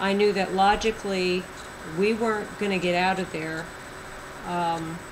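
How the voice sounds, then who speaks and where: The delivery is fairly slow, with monotone, flat intonation. Audible room echo and noticeable background noise come through. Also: woman. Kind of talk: testimony. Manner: loud.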